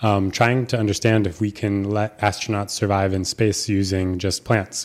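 Here is a man with an American accent and a fairly low pitch. His intonation stays fairly even. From US Pacific Northwest, Seattle. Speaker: graduate student in astrobiology. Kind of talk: interview answers via interpreter.

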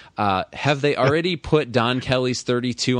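Against a quiet background, a man with a plain, everyday voice speaks at a fairly quick pace with ordinary pitch variation. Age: 20s. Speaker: sports podcast host. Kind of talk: casual chat.

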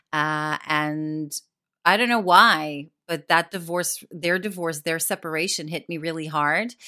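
Speaking at a fairly slow pace in an American accent, a woman uses a very deep, low pitch with fairly even intonation. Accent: American-sounding English. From Israel. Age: 40s. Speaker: actress and comedian. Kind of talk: casual chat. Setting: remote interview from northwest London.

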